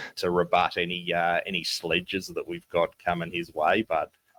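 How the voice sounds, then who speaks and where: In a dry, close sound with no echo, a man with a Tasmanian accent speaks at a moderate pace, his very deep, low voice carrying a bright, sharp tone. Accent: Tasmanian twang. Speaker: basketball podcast co-host. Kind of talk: casual podcast chat. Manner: hesitant, many fillers.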